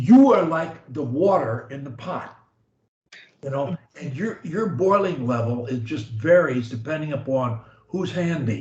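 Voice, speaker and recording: A somewhat breathy man speaks at a fairly slow pace. His pitch is fairly high. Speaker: speech coach. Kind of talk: coaching session talk.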